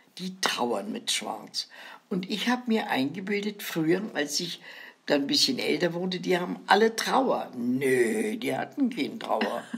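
Her pitch medium and swinging very widely, a woman speaks at a fairly slow pace over noticeable background noise. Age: 90s. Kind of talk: casual chat.

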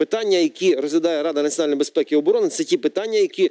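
Over a quiet background, a man with a dark, mellow tone speaks at a very fast pace. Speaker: member of parliament; talk show guest, politician. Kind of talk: TV political debate. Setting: TV studio. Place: studio. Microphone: lapel.

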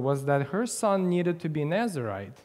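A man speaks at a moderate pace in a dark, mellow tone. His intonation is lively, and the background is quiet. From Ukraine. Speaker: preacher. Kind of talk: sermon. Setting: church. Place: church.

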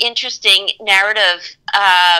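Over a quiet background, a woman speaks in a bright, sharp tone. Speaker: guest. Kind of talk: interview answer.

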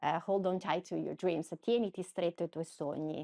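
In a quiet background, a woman speaks at a fairly slow pace in a fairly low pitch, her intonation flat and monotone. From Veneto, province of Padua; Veneto. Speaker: journalist. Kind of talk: interview conversation. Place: office. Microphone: lapel.

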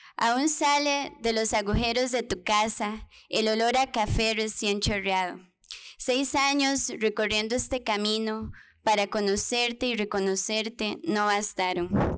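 A woman speaks at a fairly slow pace in a fairly high pitch with ordinary pitch variation. Her loudness stays very even. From Costa Rica, Pérez Zeledón, rural; Costa Rica. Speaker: poet. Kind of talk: poetry reading. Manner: tender, nostalgic, measured. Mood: tender, nostalgic, solemn. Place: hall.

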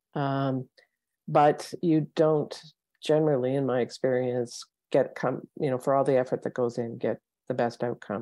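A woman with a Canadian accent speaks at a very deep, low pitch, her tone dark and mellow. Her intonation stays fairly even, and the sound is dry with no echo over a quiet background. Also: moderate pace. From Northwest Territories, Canada. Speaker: former public servant, policy fellow; panel expert. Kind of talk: panel talk. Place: home room. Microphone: earbuds.

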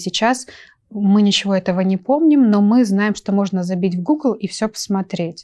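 A woman speaks at a medium pitch with a dark, mellow tone. Her pace is moderate and the background is quiet. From Russian Far East, Nakhodka (Primorye); Russian Far East. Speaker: journalist and photographer, university lecturer; journalist, university lecturer. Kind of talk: talk show interview. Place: studio. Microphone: lapel.

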